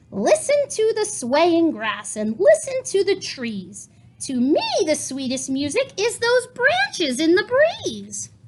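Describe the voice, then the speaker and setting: At a fairly slow pace, a woman does a put-on character voice at an extremely high pitch. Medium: read story.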